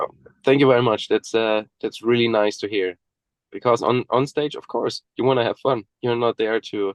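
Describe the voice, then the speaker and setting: A man with a slight German accent at medium pitch and moderate pace, fairly even intonation, and a dry, close sound with no echo. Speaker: death metal musician. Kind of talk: interview.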